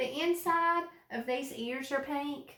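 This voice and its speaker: The voice is raised and projected. It carries a strong Alabama accent. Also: woman. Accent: strong Alabama Southern. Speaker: art teacher. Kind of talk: tutorial. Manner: warm, encouraging.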